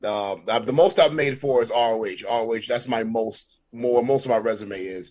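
With hardly any pauses, a man at a medium pitch speaks at a fairly slow pace with ordinary pitch variation. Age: 30s. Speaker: wrestling entrance music producer and rapper. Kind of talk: casual interview chat. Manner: animated.

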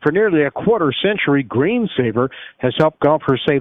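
Moderate speed and lively intonation from an ordinary speaking voice. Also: man. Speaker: radio host. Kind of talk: radio talk show hosting, interview. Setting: studio.

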